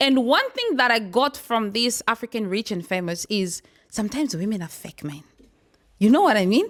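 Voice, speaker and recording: A loud, energetic, animated woman's voice at a fairly high pitch, lively in intonation and moderate in pace. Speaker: talk show host. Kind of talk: casual panel discussion.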